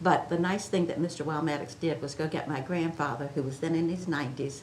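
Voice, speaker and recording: A woman with an American accent speaks at a fairly quick pace, her pitch very deep and low. Her intonation is fairly even, and the room echo is audible. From Chincoteague Island, Virginia Eastern Shore. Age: 80s+. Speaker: oral history interviewee. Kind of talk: oral history interview. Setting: museum.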